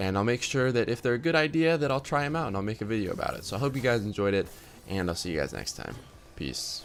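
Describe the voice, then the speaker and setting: A man at medium pitch talks at a very fast pace with lively intonation. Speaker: gaming youtuber. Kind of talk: tutorial. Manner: casual, filler-heavy.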